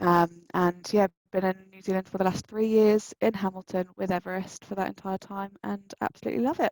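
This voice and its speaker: A woman speaks in a British accent at a medium pitch and moderate pace. Her intonation is fairly even, and the sound is dry and close with no echo. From UK. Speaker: recruitment advisor. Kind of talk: webinar panel talk. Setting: online webinar.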